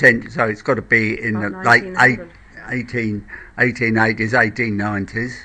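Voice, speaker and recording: A man with a London accent, a medium pitch and fairly even intonation. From Blackheath, south-east London. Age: 70s. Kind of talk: interview answer.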